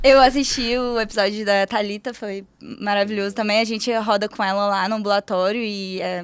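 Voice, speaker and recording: Speaking fairly quickly with a Paulista accent, a woman holds a medium pitch in a flat, monotone delivery. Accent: Paulista accent picked up. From Rio de Janeiro state, Brazil (Petrópolis). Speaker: medical resident, hematology. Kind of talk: casual chat.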